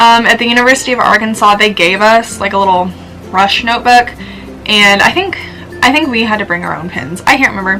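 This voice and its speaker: A woman speaks very fast at a fairly high pitch, with ordinary pitch variation and music playing in the background. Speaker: vlogger. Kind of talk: casual advice vlog. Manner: chatty with many fillers.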